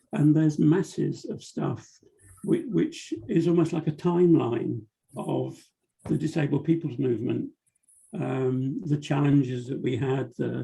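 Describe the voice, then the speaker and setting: A man in a British accent at a fairly slow pace. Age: 70s. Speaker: cartoonist. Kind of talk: interview. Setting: video call.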